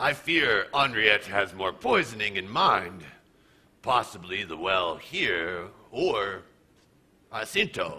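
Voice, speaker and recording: A man at a fairly slow pace, with long, frequent pauses. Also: fairly low pitch for a man, ordinary pitch variation. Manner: bitter, suspicious.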